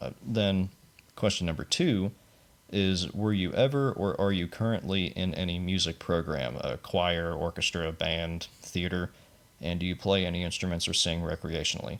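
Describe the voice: The voice has a fairly bright tone, ordinary pitch variation and a moderate pace. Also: man, low pitch for a man.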